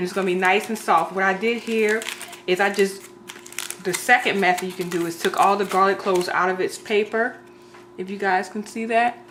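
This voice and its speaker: A woman speaks at a medium pitch and a fairly quick pace, her intonation fairly even, with noticeable background noise behind her. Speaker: home cook video creator. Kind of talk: cooking tutorial. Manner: fast.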